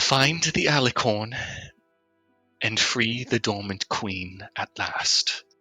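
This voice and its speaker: Putting on a shaky character voice at a medium pitch, a man speaks at a very slow pace with long, frequent pauses while faint music plays in the background. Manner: tremulous, anxious.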